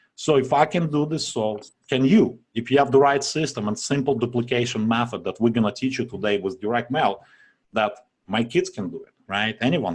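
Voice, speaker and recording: With a strong non-native accent, a man speaks at a moderate pace and medium pitch, his loudness swinging widely and his pitch varying in an ordinary way over a quiet background. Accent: strong foreign. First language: not English. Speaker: online marketing webinar presenter. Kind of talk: sales pitch. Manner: casual, filler-heavy.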